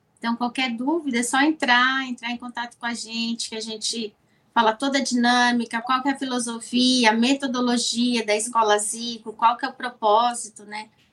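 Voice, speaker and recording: Speaking at a moderate pace with hardly any pauses, a woman uses a high pitch and monotone, flat intonation. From Brazil. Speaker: business owner, sponsor. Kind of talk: casual interview.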